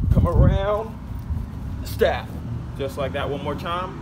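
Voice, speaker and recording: Loud noise fills the background. The speech moves at a fairly slow pace. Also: man. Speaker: martial arts youtuber. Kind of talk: casual vlog chat.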